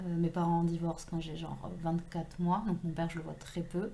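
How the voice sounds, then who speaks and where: Monotone, flat intonation from a woman with a dark, mellow tone and audible room echo. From southwestern France, Toulouse and Tarn. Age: 30s. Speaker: author. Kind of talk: casual interview. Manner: hesitant, many fillers.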